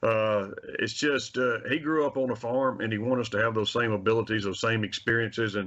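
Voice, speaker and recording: Speaking in a Mississippi accent, a man goes at a fairly quick pace with fairly even intonation. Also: medium pitch for a man. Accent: US Southern (Mississippi). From Mississippi, Carthage. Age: 60s. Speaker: wildlife agency handgun safety instructor. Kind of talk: radio interview.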